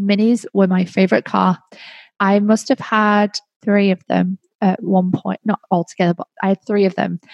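Over a quiet background, a woman with an English accent speaks at a medium pitch in a monotone, flat intonation, the sound dry and close with no echo. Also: moderate pace. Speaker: podcast host. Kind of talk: casual monologue.

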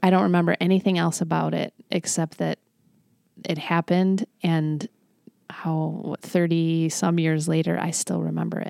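Recorded very cleanly with a silent background and a dry, close sound with no echo, a woman speaks at a moderate pace. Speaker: pastor and devotional author. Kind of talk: casual chat. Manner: gentle.

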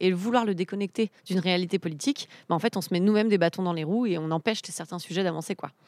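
Speaking very fast at medium pitch, a woman keeps her intonation fairly even, and the sound is dry and close with no echo. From eastern France, Ain. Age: 30s. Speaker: civic organizer. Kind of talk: interview.

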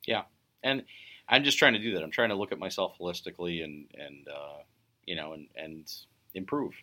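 Lively intonation and big swings in loudness mark this man's very deep, low voice, which has a bright, sharp tone and moves at a fairly quick pace broken by long, frequent pauses. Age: 40s. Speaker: photographer and artist. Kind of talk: casual chat. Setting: outdoors. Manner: halting.

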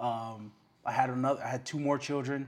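His intonation stays monotone and flat. The man's pitch sits in the medium range. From Hawaii, Oahu west side. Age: 20s. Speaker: pastor. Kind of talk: interview. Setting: at home.

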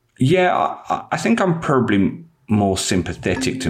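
A man speaks. He has a London accent. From East London, England. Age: 30s. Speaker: magazine editor and football coach. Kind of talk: casual interview chat.

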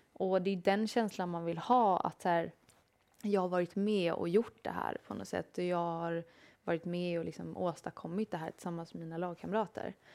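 An unremarkable speaking voice at a moderate pace, fairly even in intonation, on a very clean recording with a silent background. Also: woman, fairly low pitch for a woman. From Sweden, Småland. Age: 30s. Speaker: professional footballer. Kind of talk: interview. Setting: studio.

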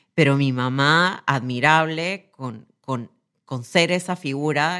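On a very clean recording with a silent background, a woman talks with a Peruvian accent and ordinary pitch variation. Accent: Peruvian Spanish (Lima). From Peru, Lima. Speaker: corporate executive. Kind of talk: interview testimony. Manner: halting, repetitive.

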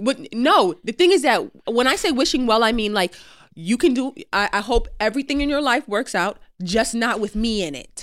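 On a very clean recording with a silent background, a woman with a plain, everyday voice speaks at a moderate pace. Her pitch is fairly high and her intonation lively. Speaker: podcast co-host. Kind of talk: casual chat.

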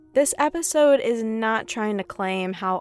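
A woman's lively intonation at a very slow pace, dry and close with no echo, with music in the background. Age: 20s. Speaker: podcast producer and host. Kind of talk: scripted narration.

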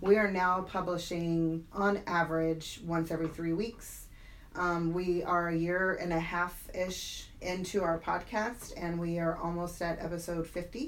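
Audible room echo surrounds a woman who speaks fairly slowly with a fairly low pitch. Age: 40s. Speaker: stroke survivor and fitness coach. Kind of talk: interview storytelling. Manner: animated.

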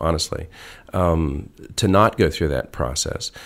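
A man with a very deep, low pitch and vocal fry talks at a fairly slow pace with ordinary pitch variation in a very clean recording with a silent background. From Arizona. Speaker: sculptor. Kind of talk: interview. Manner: halting.

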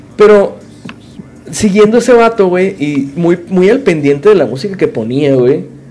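A man's high voice swings very widely in pitch. Noticeable background noise runs underneath. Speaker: podcast host. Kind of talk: casual chat. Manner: animated.

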